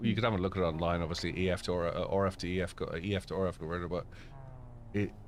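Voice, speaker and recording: Very fast, animated speech from a man with a very deep, low voice and an Irish accent. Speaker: sim racing streamer. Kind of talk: live stream chat with co-player. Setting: live stream with voice chat. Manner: casual, animated.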